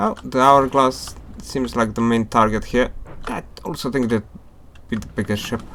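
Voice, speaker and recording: A man with a non-native accent, medium pitch and fairly even intonation, at a moderate pace with long, frequent pauses. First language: not English. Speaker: gaming YouTuber. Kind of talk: gameplay commentary. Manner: casual, hesitant with fillers.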